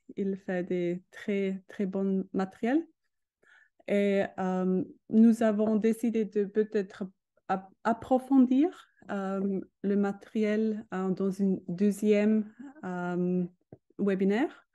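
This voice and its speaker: Against a quiet background, a woman with a dark, mellow tone and medium pitch speaks at a very slow pace, with fairly even intonation and long, frequent pauses. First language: not French (speaking French). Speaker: educational robotics expert; presenter. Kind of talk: webinar presentation. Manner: halting. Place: home room. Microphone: video call.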